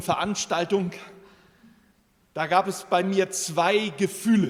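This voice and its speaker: At a very slow pace, a man with a high pitch speaks with ordinary pitch variation. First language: German (speaking Spanish). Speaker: president of a support association. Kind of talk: formal ceremonial speech. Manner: halting.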